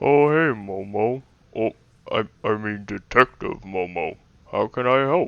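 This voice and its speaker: A man speaks in a put-on character voice. His pitch sits at a medium level. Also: fairly slow pace. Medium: audio drama. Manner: hesitant, stammering.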